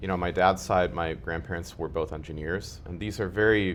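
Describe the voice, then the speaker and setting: Very deep and low-pitched, a man speaks at a fairly quick pace with ordinary pitch variation. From Ukraine (Kharkiv), raised partly in US. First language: Russian. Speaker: community member interviewed about his life. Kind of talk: interview.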